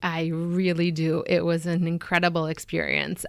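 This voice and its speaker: This woman speaks with a fairly low pitch. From Venezuela, then Boston from age nine. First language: Spanish. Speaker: physician. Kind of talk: radio interview.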